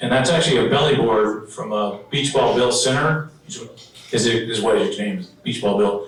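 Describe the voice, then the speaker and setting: Amid noticeable background noise and audible room echo, a man talks at a moderate pace in a medium pitch with very wide pitch swings. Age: 60s. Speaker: local surfing historian. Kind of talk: presentation with slides. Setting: dinner event with audience. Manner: casual, halting with fillers.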